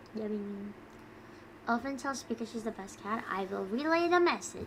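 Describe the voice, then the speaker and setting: Noticeable background noise is present. A woman talks at a moderate pace in a fairly high pitch with lively intonation. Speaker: streamer. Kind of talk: casual chat.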